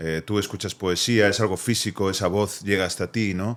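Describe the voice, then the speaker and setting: A man speaks in a plain, everyday voice, fairly low in pitch, at a moderate pace. His intonation stays fairly even, and the recording is very clean with a silent background. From Spain, Vigo. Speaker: poet, therapist, cultural activist. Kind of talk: podcast interview answer.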